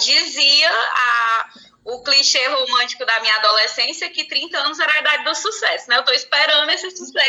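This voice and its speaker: A woman speaks at a moderate pace. She talks in a Cearense accent. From Brazil, Ceará (sertão). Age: 30s. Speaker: teacher. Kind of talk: interview.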